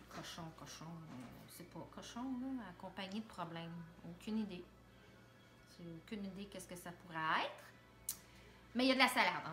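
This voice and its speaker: A woman at a medium pitch speaks at a moderate pace with long, frequent pauses and big swings in loudness, amid audible room echo and background music. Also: ordinary pitch variation. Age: 40s. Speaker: reality show contestant. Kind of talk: casual chat.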